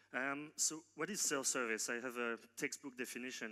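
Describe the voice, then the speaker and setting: Fairly even in intonation, a man with a slight non-native accent speaks in a bright, sharp tone. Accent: slight foreign. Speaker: tech company co-founder and CTO. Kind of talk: conference keynote. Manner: hesitant, many fillers and restarts.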